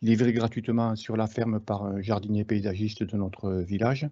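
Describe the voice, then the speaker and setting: A man with a fairly low voice speaks at a fairly slow pace. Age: 60s. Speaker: market gardener. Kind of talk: webinar presentation. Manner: halting, many hesitations.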